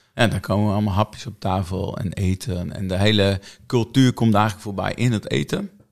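A man with a normal speaking voice talks at a fairly quick pace and fairly low pitch. Pitch variation is ordinary, and the recording is very clean with a silent background. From Netherlands, Friesland. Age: 50s. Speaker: church prayer and mission coordinator. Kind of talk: casual interview. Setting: studio, filmed.

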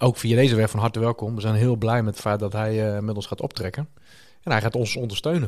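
A man speaks at a very fast pace with fairly even intonation. The recording is very clean, with a silent background. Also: medium pitch for a man. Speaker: church podcast co-host. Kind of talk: casual interview.

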